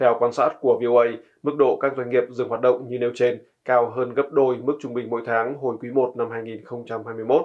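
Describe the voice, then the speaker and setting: Medium-pitched male voice at a moderate pace, with monotone, flat intonation. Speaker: news presenter. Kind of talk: news reading. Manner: formal.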